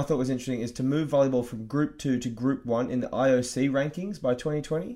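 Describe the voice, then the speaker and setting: This man has an unremarkable speaking voice, fairly high in pitch and fairly quick in pace. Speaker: podcast host and volleyball player. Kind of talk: casual chat.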